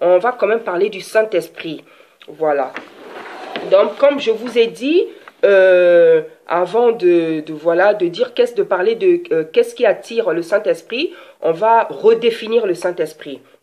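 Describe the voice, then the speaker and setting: Amid noticeable background noise, a woman speaks at medium pitch with lively intonation. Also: fairly slow pace. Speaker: preacher. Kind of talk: sermon.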